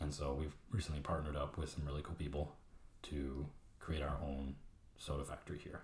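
At a fairly quick pace yet with long, frequent pauses, a man with a very deep, low pitch speaks in a somewhat breathy, monotone, flat intonation. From Mexico. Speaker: small business owner. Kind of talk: casual chat.

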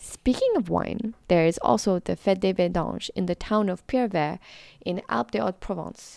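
Vocal fry runs through lively intonation at a moderate pace, with a dry, close sound and no echo. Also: woman, medium pitch for a woman. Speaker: podcast host. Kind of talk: scripted narration; interview. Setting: online interview.

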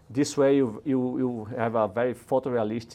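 A man with a Brazilian accent, dark and mellow in tone, fairly slow, in a monotone, flat intonation. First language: Portuguese. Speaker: robotics engineer. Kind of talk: casual interview.

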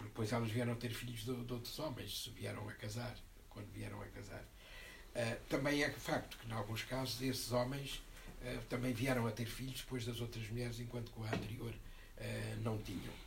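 A man at a moderate pace, with audible room echo. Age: 70s. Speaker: book presenter. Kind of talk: panel discussion. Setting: bookshop event with audience.

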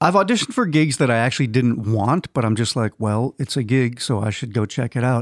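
A man with an American accent speaks in a plain, everyday voice at medium pitch with ordinary pitch variation, at a fairly quick pace with hardly any pauses. The recording is very clean with a silent background, dry and close with no echo. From Minnesota. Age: 50s. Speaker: touring guitarist. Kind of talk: casual interview.

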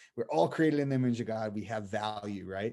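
A plain, everyday voice belongs to a man with an American accent who speaks at a fairly quick pace with lively intonation on a very clean recording with a silent background. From Boston area, US. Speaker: missionary. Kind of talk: casual interview.

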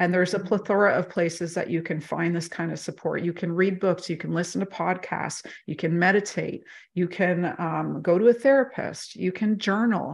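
Against a quiet background, a woman with vocal fry and fairly low pitch speaks at a moderate pace with ordinary pitch variation. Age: 40s. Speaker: life coach or mentor. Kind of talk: casual interview chat.

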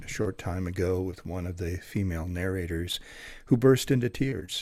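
The recording is very clean, with a silent background. A man speaks at a moderate pace with a very deep, low pitch. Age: 60s. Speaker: audiobook narrator and former radio news anchor. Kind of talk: interview.

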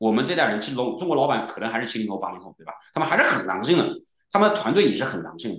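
At a very fast pace, a man with a medium-pitched voice swings very widely in pitch and shows big swings in loudness, with audible room echo. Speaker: serial entrepreneur, programmer. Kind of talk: casual interview.

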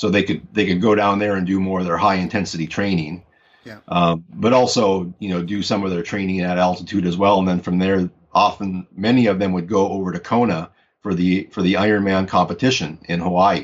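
A man with an American accent and a very deep, low pitch speaks at a fairly quick pace with fairly even intonation. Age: 40s. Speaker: sports physiologist and youth athlete development researcher. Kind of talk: interview conversation.

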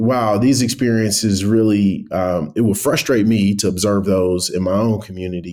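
With an American accent, a man talks at a fairly low pitch. His intonation is fairly even, and he hardly pauses. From US Midwest, east side of Cleveland, Ohio. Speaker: tech company founder and CEO. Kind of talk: interview. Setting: remote call.

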